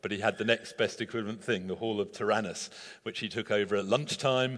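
Very fast speech from a man with a fairly low pitch and fairly even intonation, over a quiet background. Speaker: pastor. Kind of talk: sermon. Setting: church.

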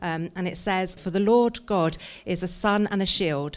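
In a plain, everyday voice, a woman speaks fairly slowly at a medium pitch with ordinary pitch variation. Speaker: church service leader. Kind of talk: prayer and devotional. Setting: church.

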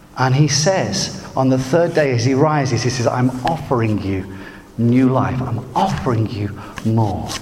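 In a room with audible echo and noticeable background noise, a man with a West Midlands accent and a medium pitch speaks at a fairly slow pace with ordinary pitch variation. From West Midlands, England. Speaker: preacher. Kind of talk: sermon.

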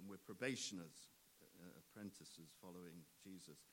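A man is speaking. His pace is fairly slow. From Nottingham, England. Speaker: preacher. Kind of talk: sermon. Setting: church.

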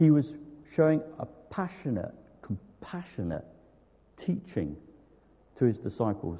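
A somewhat breathy male voice, dark and mellow in tone, with very wide pitch swings and long, frequent pauses. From Torquay, Devon, southwest England. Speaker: preacher. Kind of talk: sermon. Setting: church with congregation.

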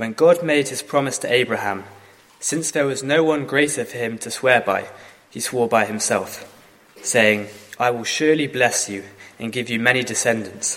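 Amid noticeable background noise, a man speaks at medium pitch with ordinary pitch variation and long, frequent pauses. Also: big swings in loudness. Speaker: scripture reader. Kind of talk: reading aloud.

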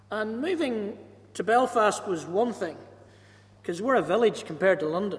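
A moderate pace in a Northern Irish accent, with long, frequent pauses. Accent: Ballymena (Northern Irish). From Northern Ireland, Ballymena. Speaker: pastor. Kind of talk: church service interview. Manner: loud, carrying.

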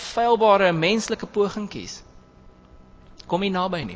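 Here a man talks with ordinary pitch variation. His pitch sits high. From southern Free State, South Africa. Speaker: preacher. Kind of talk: sermon.

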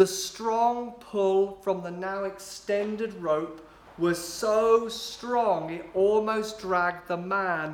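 Someone reads aloud in a natural voice.

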